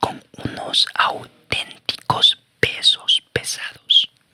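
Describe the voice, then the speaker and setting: Whispering at a very slow pace, the voice comes through with a dry, close sound and no echo. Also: man. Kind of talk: audiobook reading of a nonfiction negotiation memoir. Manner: whispered, soft.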